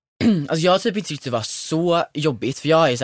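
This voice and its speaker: At a moderate pace, a man with an unremarkable speaking voice and lively intonation is heard dry and close, without echo. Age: 20s. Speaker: podcast co-host. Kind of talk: casual chat.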